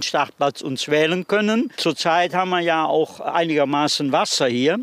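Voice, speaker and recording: Noticeable background noise runs under a voice delivered at a moderate pace. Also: man. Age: 80s+. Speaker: museum tour guide, fishing brotherhood member. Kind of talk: guided tour.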